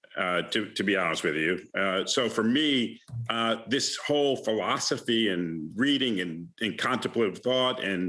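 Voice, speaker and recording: A man with a slight Bronx accent talks at a fairly slow pace and fairly low pitch, with hardly any pauses. His intonation is lively and his loudness very even. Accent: faint Bronx accent in a few words. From New York City, the Bronx. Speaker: alumnus and investment manager. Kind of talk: conversation at alumni lecture. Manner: halting with many fillers.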